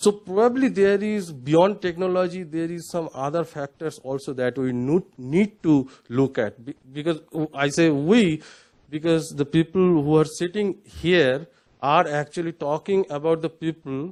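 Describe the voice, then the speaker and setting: A fairly slow voice with a Bengali accent, ordinary pitch variation and a quiet background. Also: man, fairly high pitch for a man. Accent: Indian English, Bengali. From West Bengal, India. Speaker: panelist. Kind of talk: panel discussion. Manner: halting, many fillers.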